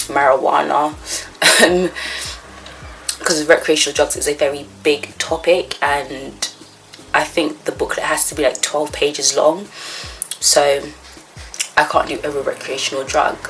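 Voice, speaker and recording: Amid noticeable background noise, a woman speaks at a moderate pace with long, frequent pauses. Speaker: vlogger, psychology student. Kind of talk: casual vlog.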